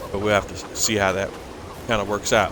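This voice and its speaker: A man's voice over background music. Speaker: video game streamer. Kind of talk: gameplay commentary. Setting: livestream. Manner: casual, hesitant with fillers.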